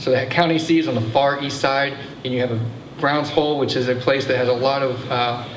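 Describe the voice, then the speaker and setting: Talking very fast in a flat monotone, a man with an American accent and a medium pitch comes through with audible room echo and noticeable background noise. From Texas. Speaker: museum assistant director giving a history talk. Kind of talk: public history talk. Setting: brewery event with live audience. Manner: many fillers and restarts.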